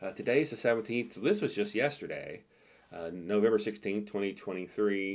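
At a fairly quick pace, a man is speaking. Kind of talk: tutorial.

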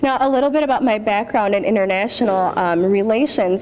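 Speaking at a fairly quick pace, a woman with a Midwestern American accent shows ordinary pitch variation. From US Midwest. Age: 20s. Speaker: beauty pageant titleholder. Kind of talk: keynote speech. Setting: stage with audience. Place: hall. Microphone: podium.

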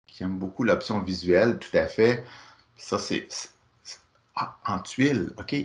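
A man talks at a very slow pace, with long, frequent pauses. His intonation is lively. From Quebec. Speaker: workshop facilitator. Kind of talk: online workshop presentation. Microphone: video call.

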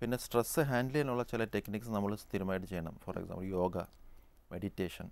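A man speaks in an ordinary speaking voice at a fairly low pitch. His pitch variation is ordinary, and the sound is dry with no echo. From Kerala. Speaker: neurosurgeon; guest. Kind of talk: TV health phone-in. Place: studio. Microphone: lapel.

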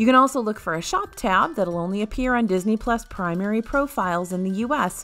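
With music in the background, an upbeat voice in an American accent makes very wide pitch swings. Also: woman. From Buffalo, Western New York. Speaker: theme park news video host. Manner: upbeat, conversational.

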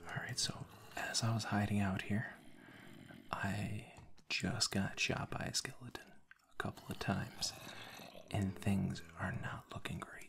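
A whispered voice at a fairly slow pace. Long pauses come often. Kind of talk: ASMR gameplay commentary. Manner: soft-spoken; casual, relaxed.

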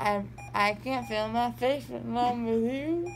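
A woman speaks in a drawl at a very slow pace. Light background noise can be heard. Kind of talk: casual drowsy chat. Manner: groggy, numb-mouthed, anesthesia-slurred drawl. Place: home room. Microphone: phone near.

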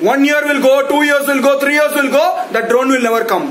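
Speaking very fast, a man has an Indian accent and an extremely high pitch. Light background noise and audible room echo are present. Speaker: YouTube ranter. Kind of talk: angry rant. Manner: loud, indignant, accusatory; repetitive, sarcastic, emphatic. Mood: angry, mocking. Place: home room. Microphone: phone near.

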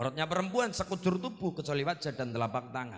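This man's voice sits fairly high in pitch and has a bright, sharp tone. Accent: Banyumas. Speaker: Islamic preacher. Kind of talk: humorous religious sermon. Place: stage. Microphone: handheld.

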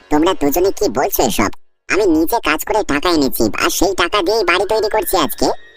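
A woman's cartoonish character voice, medium in pitch, at a moderate pace. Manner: indignant; snide.

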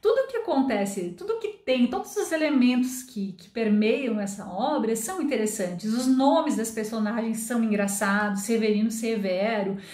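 A woman with a Brazilian accent speaks at a moderate pace with fairly high pitch, ordinary pitch variation and hardly any pauses, in audible room echo. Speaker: Portuguese teacher and book reviewer; Portuguese teacher, book reviewer. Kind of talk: book review monologue. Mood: warm, lightly humorous. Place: home room.

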